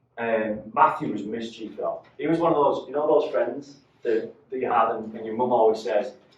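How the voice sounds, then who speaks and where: A man with a Mancunian accent, at a moderate pace. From northern England, Salford, Manchester. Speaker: motivational speaker, business owner. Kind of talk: talk to a live audience.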